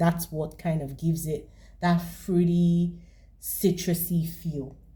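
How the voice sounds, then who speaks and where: A woman's fairly low, somewhat breathy voice with a dark, mellow tone, at a fairly slow pace. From Nigeria. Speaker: fragrance reviewer. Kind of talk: product review.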